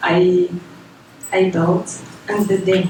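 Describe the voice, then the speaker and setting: A medium-pitched woman with a non-native accent, plus noticeable background noise and audible room echo. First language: not English. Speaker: data science beginner presenting project. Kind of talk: tech talk presentation. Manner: halting, self-correcting.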